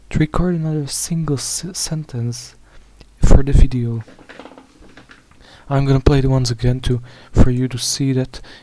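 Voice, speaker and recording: The speaker has a non-native accent and a moderate pace. Long, frequent pauses break it up, and background noise is noticeable. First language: not English. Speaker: YouTube commentator. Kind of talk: video commentary monologue. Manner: halting, many false starts.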